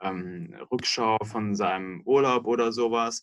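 This man has an ordinary speaking voice and a fairly low pitch. His intonation stays fairly even. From Munich, Bavaria (southern Germany). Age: 30s. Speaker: software company executive. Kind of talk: interview.

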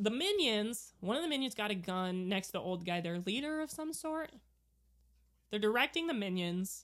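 Lively intonation rings out on a very clean recording with a silent background. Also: woman. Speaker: podcast co-host. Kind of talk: casual chat. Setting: watching a movie together. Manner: loud.

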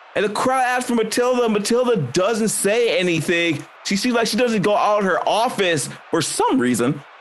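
A man with a high voice talks at a moderate pace in an animated tone with lively intonation and very even loudness, over noticeable background noise. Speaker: game master and podcast host. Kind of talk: tabletop actual-play session with wrestling promo bits. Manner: animated, jokey, laughs often.

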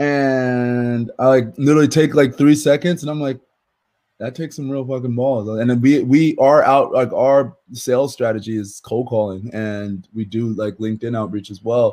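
On a very clean recording with a silent background, a man with a dark, mellow tone speaks at a moderate pace and medium pitch, using ordinary pitch variation and big swings in loudness. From South Jersey. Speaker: former NFL player and entrepreneur. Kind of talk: casual interview.

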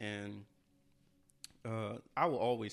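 A man with an American accent talks at a fairly low pitch in a monotone, flat intonation. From Louisiana. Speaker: podcast co-host. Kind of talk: casual chat.

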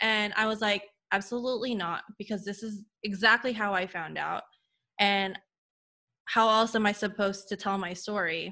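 Long, frequent pauses in a woman's bright, sharp, medium-pitched voice, at a moderate pace with fairly even intonation. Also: very clean recording, silent background. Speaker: former tennis player. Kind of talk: testimony. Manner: chatty.

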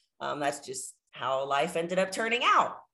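Using an unremarkable speaking voice, a woman with a fairly low pitch talks at a moderate pace. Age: 20s. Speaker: pro bodybuilder and fitness influencer. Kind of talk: casual interview.

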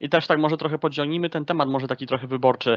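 A man's fairly even intonation in a dry, close sound with no echo. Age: 20s. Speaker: political talk show host. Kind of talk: political interview. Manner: hesitant, with self-corrections.

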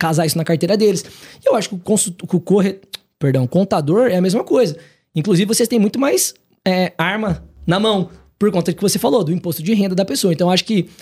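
Speaking very fast yet with long, frequent pauses, a high-pitched man keeps very even loudness and ordinary pitch variation. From Paraná, Brazil (Maringá). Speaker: consortium business owner, entrepreneur. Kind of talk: casual podcast interview. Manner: casual, colloquial.

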